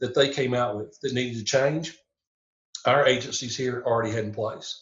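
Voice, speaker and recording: This man speaks with a Southern US accent. His pitch is medium and his pace fairly quick. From Tennessee. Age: 60s. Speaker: police chaplain and minister. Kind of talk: podcast interview. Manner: halting, many fillers.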